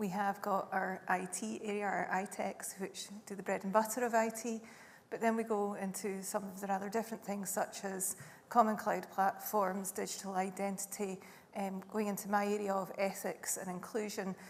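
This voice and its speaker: The speaker uses flat, monotone intonation at a moderate pace with a Scottish accent. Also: woman, medium pitch for a woman. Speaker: government digital director, lawyer by background. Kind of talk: panel discussion.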